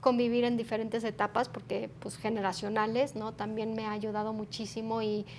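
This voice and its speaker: Here a woman with an unremarkable speaking voice talks at a moderate pace, fairly high in pitch, with fairly even intonation. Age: 40s. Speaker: human resources executive. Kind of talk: interview.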